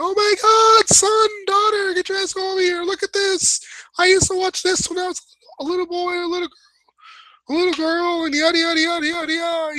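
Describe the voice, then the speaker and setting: A put-on character voice at an extremely high pitch and a fairly quick pace. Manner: excited, nostalgic.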